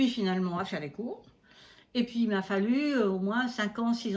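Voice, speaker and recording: A woman's somewhat breathy voice, fairly quick in pace, with lively intonation. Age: 70s. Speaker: astrologer. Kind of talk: interview.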